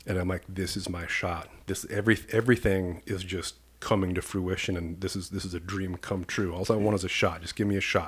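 At a fairly quick pace with hardly any pauses, a man with an American accent speaks with a very deep, low pitch, a somewhat breathy voice and monotone, flat intonation on a very clean recording with a silent background. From US Midwest, rural Iowa. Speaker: police commander. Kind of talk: casual interview.

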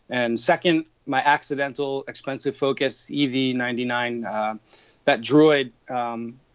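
A man's normal speaking voice at medium pitch, fairly slow in pace, with fairly even intonation. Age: 30s. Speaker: toy collector. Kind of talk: interview.

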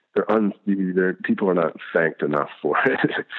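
A man with an American accent, a very deep, low pitch and ordinary pitch variation. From US South. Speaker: illustrator. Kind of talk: interview. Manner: polite; halting.

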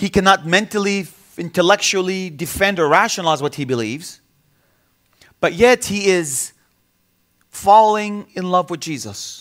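The speaker has an Arabic accent, a moderate pace, ordinary pitch variation, and long, frequent pauses. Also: man, high pitch for a man. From Bethlehem, Palestinian territories. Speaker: visiting pastor. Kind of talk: sermon. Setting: church with congregation. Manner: repetitive, stammering restarts.

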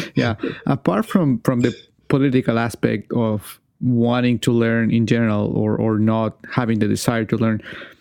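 A man talks at a moderate pace. He speaks with a Chilean accent. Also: medium pitch for a man, fairly even intonation, very even loudness. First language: Spanish. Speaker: podcast host. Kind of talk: interview.

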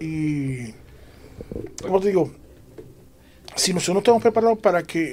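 A man's high voice moves along at a fairly quick pace. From Puerto Rico. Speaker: church member discussing faith. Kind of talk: religious panel discussion.

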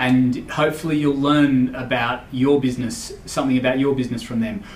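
A man with an Australian accent speaks at a moderate pace with ordinary pitch variation. There's audible room echo and noticeable background noise. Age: 40s. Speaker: podcast host and finance business owner. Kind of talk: solo podcast monologue. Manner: halting, many fillers.

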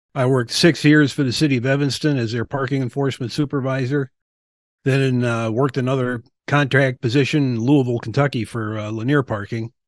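Against a quiet background, a man with an American accent talks fairly quickly in a normal speaking voice at a medium pitch, with fairly even intonation and a dry, close sound with no echo. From Milwaukee, Wisconsin, US Midwest. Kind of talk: casual interview.

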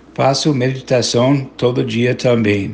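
Using fairly even intonation, a man with an American accent speaks at a fairly slow pace. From United States. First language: English (speaking Portuguese). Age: 70s. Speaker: journalist and mental health activist. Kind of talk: testimony.

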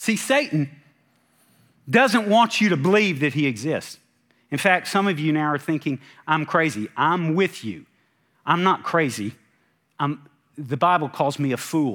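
A fairly high-pitched man with lively intonation at a fairly slow pace, with long, frequent pauses, in a very clean recording with a silent background. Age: 50s. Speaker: pastor. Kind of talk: sermon.

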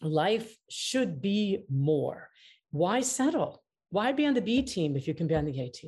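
Against a quiet background, a woman with a dark, mellow, somewhat breathy tone speaks fairly slowly at a medium pitch with very wide pitch swings. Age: 60s. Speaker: mediator and author. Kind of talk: interview.

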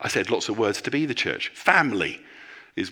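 With a bright, sharp tone and vocal fry, a man speaks at a medium pitch and a moderate pace, his pitch swinging very widely. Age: 50s. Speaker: senior pastor. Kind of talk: sermon.

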